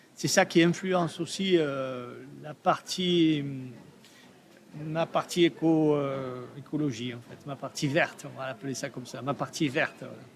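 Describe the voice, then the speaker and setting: Speaking at a fairly slow pace, a man uses a fairly high pitch with ordinary variation. He has a slight southern French accent. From Provence, southern France. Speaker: artist. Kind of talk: interview. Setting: trade fair. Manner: hesitant, many fillers.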